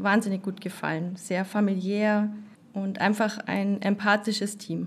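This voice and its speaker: A woman talks at a fairly slow pace and medium pitch. Her voice is somewhat breathy. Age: 30s. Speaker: nurse. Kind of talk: interview.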